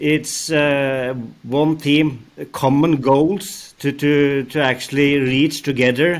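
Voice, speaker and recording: A man with a Norwegian accent speaks at a very slow pace. His pitch is fairly high. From Norway. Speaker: rail company executive, former signaling engineer. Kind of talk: interview. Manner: halting, many fillers. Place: office. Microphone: headset.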